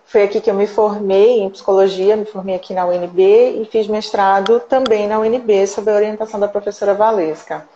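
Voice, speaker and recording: A woman with a medium pitch speaks at a moderate pace, barely pausing. Her intonation is monotone and flat, and noticeable background noise can be heard. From Brazil, Recife (Pernambuco, Northeast). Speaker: psychologist and researcher. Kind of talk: interview in a live stream. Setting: online live stream.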